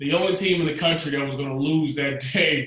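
A man speaks in a fairly high pitch with a Southern US accent. His intonation is monotone and flat. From US South, Georgia. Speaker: former quarterback and football analyst. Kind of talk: casual interview.

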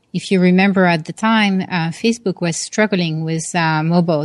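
A woman is speaking. She has a French accent. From France, Paris. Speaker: tech product executive and author. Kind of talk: interview. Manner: hesitant fillers (uh, um).

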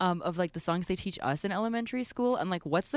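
Text is read aloud in a natural voice. The pitch shifts in an ordinary way.

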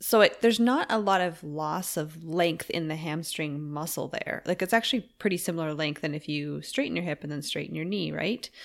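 A woman's normal speaking voice, fairly low in pitch with ordinary pitch variation, at a fairly quick pace, in a very clean recording with a silent background. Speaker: yoga teacher and podcast host. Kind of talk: casual chat.

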